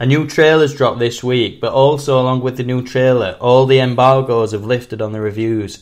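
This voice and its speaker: This man has a strong Sheffield accent. He speaks at a moderate pace with a medium pitch. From northern England, Sheffield. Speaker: film podcast host. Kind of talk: casual chat. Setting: podcast recording.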